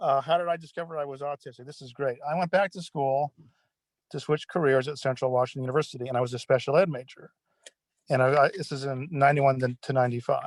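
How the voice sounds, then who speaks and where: Very fast and with fairly even intonation, a man with an American accent speaks in a dry, close sound with no echo. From California. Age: 60s. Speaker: retired case manager. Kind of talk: panel discussion.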